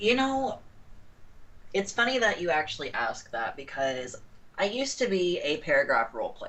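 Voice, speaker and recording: Her voice shows vocal fry and very wide pitch swings as the woman speaks with long, frequent pauses. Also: medium pitch for a woman, moderate pace. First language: not English. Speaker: online role-play gamer. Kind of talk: interview. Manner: hesitant, many fillers.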